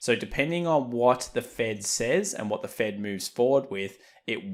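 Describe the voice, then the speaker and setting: On a very clean recording with a silent background, a man with an Australian accent talks at a moderate pace with lively intonation. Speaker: trading educator. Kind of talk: market analysis commentary.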